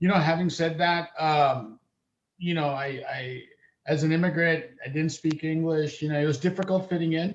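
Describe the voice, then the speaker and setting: At a moderate pace, a man with a fairly high pitch talks with fairly even intonation. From California (Salinas), born in Uganda. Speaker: school board member. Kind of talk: board meeting testimony. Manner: halting, many fillers.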